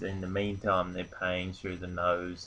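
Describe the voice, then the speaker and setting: A man with an Australian accent talks in a very deep, low-pitched voice. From Australia, rural North Queensland. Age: 20s. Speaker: online business vlogger. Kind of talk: casual vlog monologue. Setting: at home on a couch. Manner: hesitant, many fillers.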